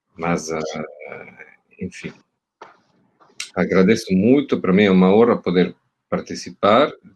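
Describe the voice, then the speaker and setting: A man in an Italian accent with very deep, low pitch, ordinary pitch variation and a fairly slow pace. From Italy. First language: Italian (speaking Portuguese). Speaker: university professor. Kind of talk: panel talk. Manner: halting, many fillers and repeats.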